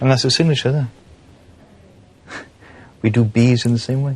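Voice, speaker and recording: With a Welsh accent, a man of medium pitch speaks at a fairly quick pace with fairly even intonation. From Wales. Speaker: stand-up comedian. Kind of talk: documentary interview, casual talk.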